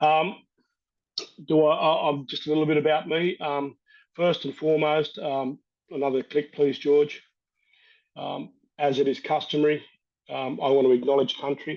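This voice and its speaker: Over a quiet background, a man with an Australian accent talks in a fairly high pitch with flat, monotone intonation and long, frequent pauses. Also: moderate pace. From Australia, north-west New South Wales. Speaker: First Nations water expert, panel speaker. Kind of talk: webinar talk.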